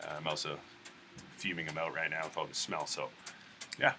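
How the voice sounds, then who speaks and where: Music plays behind a soft-spoken man who talks at a fairly quick pace. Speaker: spray paint artist. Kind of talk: tutorial. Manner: casual.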